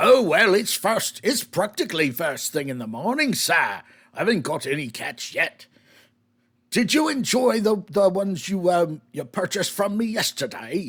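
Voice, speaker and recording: Putting on a character voice, a man speaks at a moderate pace and high pitch in a very clean recording with a silent background. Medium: actual play. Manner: folksy, polite, addresses people as sir.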